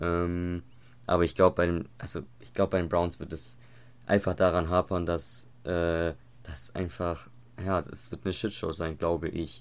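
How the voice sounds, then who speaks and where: Very clean and set against a silent background, the recording captures a man with a very deep, low voice speaking at a fairly slow pace. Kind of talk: casual chat. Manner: hesitant, many filler words. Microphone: new microphone.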